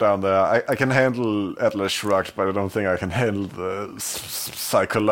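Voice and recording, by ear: The passage is read aloud in a natural voice.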